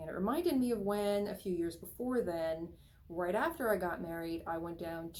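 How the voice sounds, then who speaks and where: A woman with an American accent speaks at a fairly low pitch with ordinary pitch variation, and audible room echo surrounds her voice. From Oregon, US. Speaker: author and teacher. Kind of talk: TV interview, personal account. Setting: TV show appearance.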